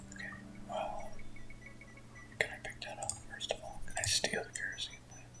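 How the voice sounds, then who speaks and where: Whispering fills the clip, broken by long, frequent pauses. Background noise is noticeable. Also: moderate pace. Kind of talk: whispered ASMR gaming playthrough commentary. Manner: whispered, casual.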